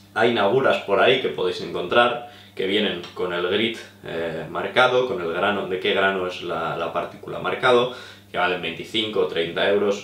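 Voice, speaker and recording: A man's fairly low voice at a fairly slow pace, with ordinary pitch variation and audible room echo. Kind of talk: tutorial. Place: home room.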